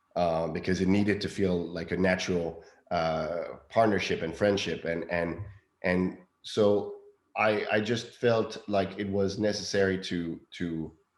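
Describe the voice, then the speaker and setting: Very deep, low male voice at a fairly slow pace with fairly even intonation and audible room echo. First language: not English. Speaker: film director. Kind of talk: interview. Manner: halting, many fillers.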